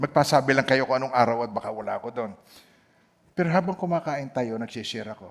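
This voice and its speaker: A man speaks at a very fast pace with ordinary pitch variation. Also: medium pitch for a man, big swings in loudness. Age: old. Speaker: pastor. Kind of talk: sermon.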